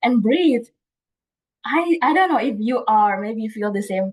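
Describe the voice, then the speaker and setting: With lively intonation, an ordinary speaking voice goes along at a fairly slow pace. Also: woman. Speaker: toastmasters club member giving prepared speech. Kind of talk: prepared speech.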